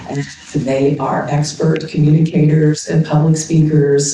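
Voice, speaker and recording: A moderate pace and ordinary pitch variation, with audible room echo and noticeable background noise. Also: woman. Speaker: university speaking center director. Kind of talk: opening remarks and guided breathing exercise.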